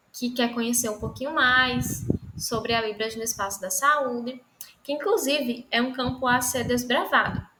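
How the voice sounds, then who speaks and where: The speaker goes at a fairly slow pace with fairly even intonation. Audible room echo surrounds the voice. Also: woman. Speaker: lecturer. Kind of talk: online lecture.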